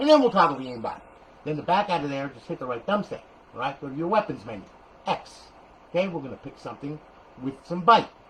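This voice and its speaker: A man's fairly high voice in a New Jersey accent, animated in tone, with very wide pitch swings at a very fast pace. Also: big swings in loudness. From New Jersey (Paterson). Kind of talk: tutorial. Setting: garage. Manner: loud.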